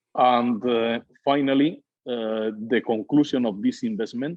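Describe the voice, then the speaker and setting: This voice has an ordinary amount of pitch variation. It speaks with a Spanish accent. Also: man. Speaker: winery owner. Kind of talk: interview. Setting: podcast. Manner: halting, many hesitations.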